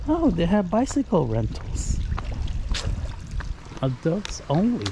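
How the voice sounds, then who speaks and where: A man talks fairly slowly, the sound dry with no echo while noticeable noise runs behind him. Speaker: RV travel vlogger. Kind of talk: casual vlog chat. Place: street. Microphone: phone near.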